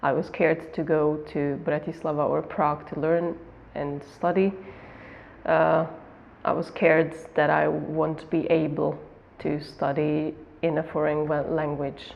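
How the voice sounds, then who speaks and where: With a Hungarian accent, a woman speaks at a fairly slow pace in a very deep, low voice with monotone, flat intonation and long, frequent pauses. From Slovakia, Hungarian minority village near the border. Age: 20s. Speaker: migrant interviewee, art history graduate. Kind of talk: interview. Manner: halting, many repetitions.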